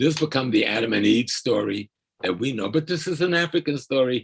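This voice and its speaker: Somewhat breathy, a man speaks at a moderate pace at medium pitch with very wide pitch swings. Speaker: scholar activist and lecturer. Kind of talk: lecture. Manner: calm.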